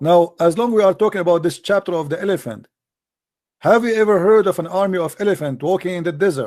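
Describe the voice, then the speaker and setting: A man with an Arabic accent talks at a very fast pace in a high pitch, with ordinary pitch variation. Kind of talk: heated debate. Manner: animated.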